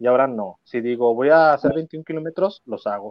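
A man with a Mexican accent, lively intonation and a moderate pace. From Mexico, León, Guanajuato. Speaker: adoption consultant. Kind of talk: interview testimony.

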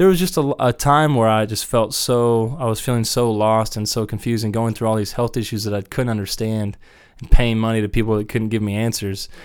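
A man with a Midwestern American accent at a fairly quick pace, with ordinary pitch variation, in a very clean recording with a silent background. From Wichita, Kansas. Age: 30s. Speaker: musician. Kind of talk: casual interview.

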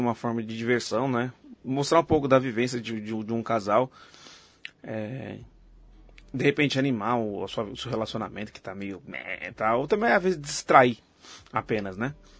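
A man with an unremarkable speaking voice, medium pitch, ordinary pitch variation, moderate pace and big swings in loudness. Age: 30s. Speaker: podcast host. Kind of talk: casual chat.

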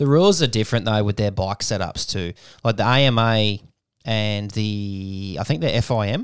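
At a moderate pace, a man with a normal speaking voice talks fairly low, his pitch varying in an ordinary way. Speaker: podcast co-host. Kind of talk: casual chat.

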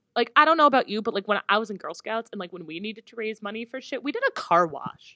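A woman with a bright, sharp tone and a fairly high pitch speaks at a very fast pace with hardly any pauses, her intonation lively and her tone animated. Her loudness swings widely, and the sound is dry and close with no echo. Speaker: podcast host. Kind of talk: casual chat.

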